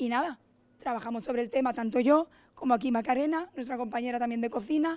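A woman's high-pitched voice at a very fast pace. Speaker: restaurant owner, cook. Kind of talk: event talk. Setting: restaurant event.

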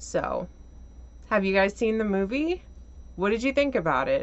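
Here a woman speaks at a moderate pace. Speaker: movie reviewer. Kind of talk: casual vlog chat. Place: home room.

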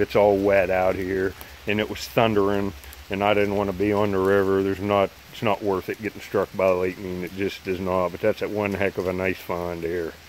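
A man talks in a monotone, flat intonation. Light background noise can be heard. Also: dry sound with no echo. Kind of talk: casual vlog chat. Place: rain. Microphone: phone near.

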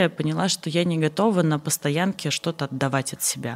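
A woman's fairly low voice with ordinary pitch variation, at a moderate pace. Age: 30s. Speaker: charity foundation director; guest. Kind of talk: interview. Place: studio. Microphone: studio mic.

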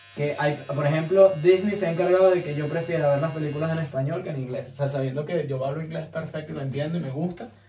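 A man's fast, fairly high-pitched delivery with few pauses, fairly even intonation, a dark, mellow tone and strong room echo

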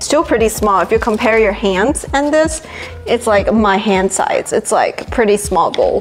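A woman talks at a fairly slow pace. Faint music plays in the background. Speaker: product reviewer. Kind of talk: casual vlog chat. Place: kitchen.

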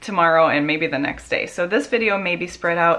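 This woman's voice sits fairly low in pitch, with ordinary pitch variation. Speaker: stay-at-home mom vlogger. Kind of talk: casual vlog chat. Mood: cheerful, friendly. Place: kitchen. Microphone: phone near.

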